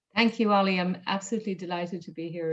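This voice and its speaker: A woman speaks with an Irish accent. Her intonation stays monotone and flat. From rural Ireland. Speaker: corporate diversity executive. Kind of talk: interview.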